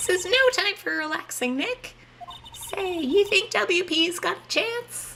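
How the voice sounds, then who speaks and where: Doing a put-on character voice, a man speaks at a fairly slow pace in an extremely high, squeaky pitch with a bubbly tone. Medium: game stream. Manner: bubbly, casual.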